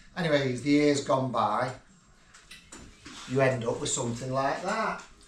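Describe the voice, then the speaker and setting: Over noticeable background noise and audible room echo, a man talks at a moderate pace in a medium pitch with ordinary pitch variation. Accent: northern English. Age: 60s. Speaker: retired builder, father of the host. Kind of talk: casual chat.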